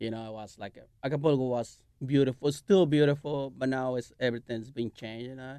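In a Mexican accent, the speaker talks very fast with fairly even intonation. The tone is dark and mellow, with big swings in loudness. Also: man, medium pitch for a man. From Mexico. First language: Spanish. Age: 40s. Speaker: chef and restaurant owner. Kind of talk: interview. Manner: halting.

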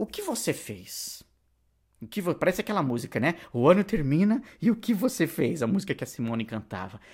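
A man's high-pitched, animated voice with very wide pitch swings and big swings in loudness, at a moderate pace, in a very clean recording with a silent background. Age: 40s. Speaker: podcast host and online course educator. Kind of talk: solo podcast monologue.

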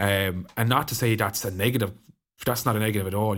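A man talks very fast with a Waterford accent and fairly even intonation. The recording is very clean, with a silent background. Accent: Waterford Irish. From Ireland, County Waterford. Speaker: hurler. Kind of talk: casual chat.

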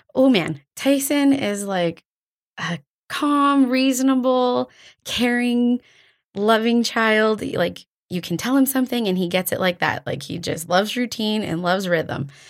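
A woman with a Canadian accent talks at a fairly slow pace, fairly high in pitch with lively intonation. The recording is very clean, with a silent background. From Alberta, Canada (Drayton Valley). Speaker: church children's coordinator. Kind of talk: casual interview. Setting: studio.

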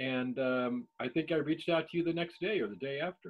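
This man talks at a fairly slow pace with an American accent and a fairly high pitch. His pitch varies in an ordinary way, and he has an unremarkable speaking voice. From Ohio, Cleveland. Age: 60s. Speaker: podcast host and cannabis grower. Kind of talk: casual chat. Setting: video call.

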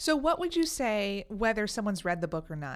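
A woman's ordinary speaking voice with an American accent and lively intonation, at a moderate pace, in a very clean recording with a silent background. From New York City. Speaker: podcast host. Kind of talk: casual interview. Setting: studio.

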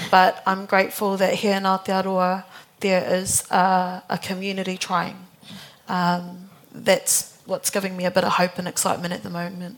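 A woman's intonation stays monotone and flat as she talks at a moderate pace. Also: medium pitch for a woman. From Auckland and Waikato, New Zealand. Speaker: youth arts organisation co-founder. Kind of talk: panel discussion.

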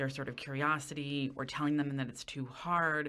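A woman with a very deep, low voice at a fairly quick pace. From Westchester County, New York. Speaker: university professor. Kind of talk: interview conversation.

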